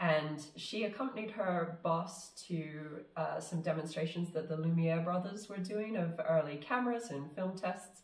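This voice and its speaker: At a fairly slow pace with hardly any pauses, a woman talks at a fairly low pitch with ordinary pitch variation over noticeable background noise. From New Zealand. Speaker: film director. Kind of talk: casual interview chat. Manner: halting, many fillers.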